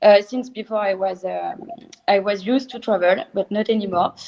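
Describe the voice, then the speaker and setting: A woman talks with a French accent at a moderate pace. Her pitch is fairly high, with ordinary variation. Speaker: champagne producer. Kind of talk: online interview. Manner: hesitant, many filler sounds.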